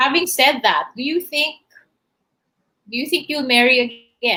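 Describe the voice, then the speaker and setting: A woman's raised, projected voice, high-pitched with a bright, sharp tone, ordinary pitch variation, and a fairly slow pace. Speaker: talk show host. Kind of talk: interview.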